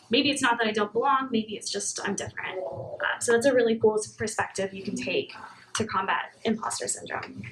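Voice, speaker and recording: A woman speaking at a fairly quick pace over noticeable background noise. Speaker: engineering manager. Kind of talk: talk at a meetup; audience Q&A. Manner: soft-spoken; fast.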